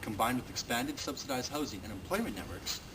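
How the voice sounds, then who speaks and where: A man talks with a Western Canadian accent. Noticeable background noise is present. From Richmond, British Columbia, Canada. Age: young. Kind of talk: contest campaign speech to camera.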